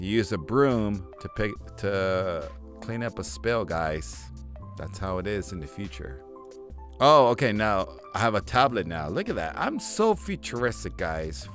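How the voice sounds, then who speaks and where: A man speaks in a very deep, low voice at a fairly slow pace. The sound is dry with no echo, and faint music plays in the background. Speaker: gaming commentator. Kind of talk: commentary. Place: home room.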